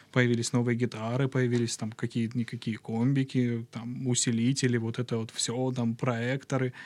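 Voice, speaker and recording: A man at medium pitch talks at a moderate pace in a monotone, flat delivery with hardly any pauses. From southern Russia, Krasnodar region. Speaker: podcast guest. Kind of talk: casual chat. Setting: studio.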